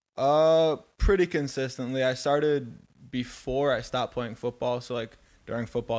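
Speaking at a fairly quick pace, a man with a medium pitch and ordinary pitch variation is heard on a very clean recording with a silent background. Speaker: chiropractic student. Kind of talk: casual chat. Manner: energetic.

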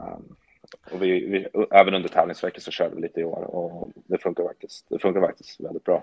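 A man speaks at a fairly quick pace, with big swings in loudness. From Sweden, Gävle. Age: 20s. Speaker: professional golfer. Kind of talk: casual interview.

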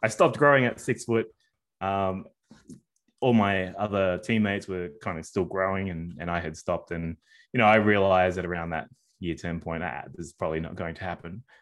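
Speaking with an Australian accent, this man has a very deep, low pitch. He moves at a fairly quick pace with ordinary pitch variation. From Sydney, Australia, of New Zealand Māori parents. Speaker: sports media and digital strategy executive. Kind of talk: casual interview. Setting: at home, remote call.

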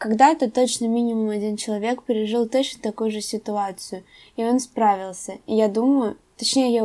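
A woman's fairly high-pitched voice with a dark, mellow tone, moderate pace and ordinary pitch variation, in a very clean recording with a silent background. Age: 20s. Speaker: podcast host, university student. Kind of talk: solo podcast monologue.

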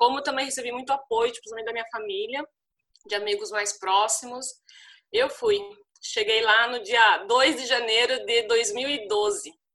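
The tone is bright and sharp, with big swings in loudness. The pace is fairly slow, with ordinary pitch variation. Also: woman, high pitch for a woman. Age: 30s. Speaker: former travel blogger and volunteer teacher. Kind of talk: interview, personal storytelling.

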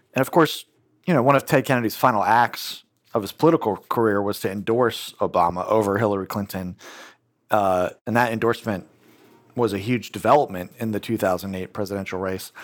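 In an ordinary speaking voice, the speech moves at a fairly quick pace with ordinary pitch variation on a very clean recording with a silent background. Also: man, fairly low pitch for a man. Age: 40s. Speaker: political journalist and author. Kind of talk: interview about his book.

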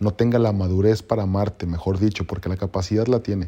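His tone comes across dark and mellow. The man's pace is moderate. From Mexico. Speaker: podcaster. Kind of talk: motivational monologue. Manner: halting; passionate.

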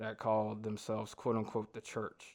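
The background is quiet as a man talks at a fairly quick pace. He has a Southern US accent and a medium pitch. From US South, north Georgia. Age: 20s. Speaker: guest sharing personal faith story. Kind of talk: testimony.

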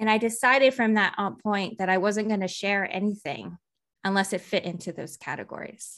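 An unremarkable speaking voice with an American accent moves at a fairly quick pace with ordinary pitch variation on a very clean recording with a silent background. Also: woman, medium pitch for a woman. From Texas. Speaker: artist and musician. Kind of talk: interview conversation.

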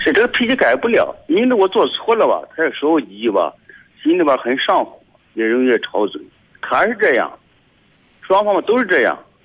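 This man leaves long, frequent pauses. Otherwise his pace is moderate. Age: 60s. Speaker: radio caller. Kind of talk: phone call-in. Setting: phone call.

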